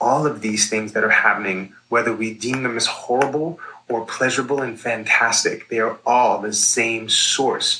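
A man with an American accent has an ordinary speaking voice at medium pitch. He keeps a moderate pace with hardly any pauses and fairly even intonation. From New York. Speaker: nurse and psychedelic educator. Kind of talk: interview.

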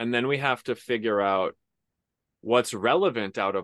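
A man talks at a moderate pace in an unremarkable speaking voice. His pitch varies in an ordinary way, against a quiet background. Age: 30s. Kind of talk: interview.

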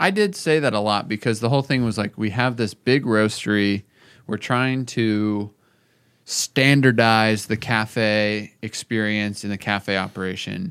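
On a very clean recording with a silent background, a man speaks in a plain, everyday voice, fairly low in pitch, at a fairly slow pace with fairly even intonation. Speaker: podcast host and coffee company founder. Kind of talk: casual chat.

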